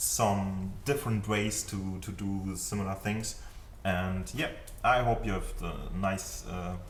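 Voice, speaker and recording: A man speaks at a very slow pace with a non-native accent, his pitch fairly low with ordinary variation. Light background noise and audible room echo are present. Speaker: 3D animation tutor. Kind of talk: tutorial. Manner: halting, many fillers. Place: home room. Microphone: webcam.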